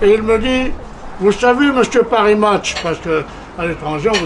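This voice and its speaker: A man with a high voice speaks at a moderate pace. Audible room echo and noticeable background noise surround him. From Corsica, France. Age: 80s+. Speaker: veteran journalist and politician. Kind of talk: conference talk.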